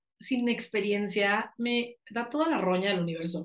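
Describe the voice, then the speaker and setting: Speaking at a fairly slow pace, a woman has a plain, everyday voice, fairly high in pitch with ordinary pitch variation. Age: 30s. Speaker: life coach and actress. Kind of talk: interview conversation.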